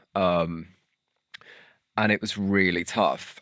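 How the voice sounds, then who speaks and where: In a very clean recording with a silent background and a dry, close sound with no echo, a man speaks very slowly with very deep, low pitch and monotone, flat intonation. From northern England, St Helens (Merseyside). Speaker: charity founder and CEO. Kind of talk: casual interview. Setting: studio.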